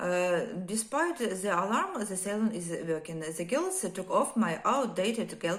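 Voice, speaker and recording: Speaking fairly slowly, a woman uses a medium pitch and lively intonation. There is noticeable background noise. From Ukraine. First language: Ukrainian or Russian. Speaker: war survivor telling her story. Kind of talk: personal testimony. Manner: halting, many hesitations.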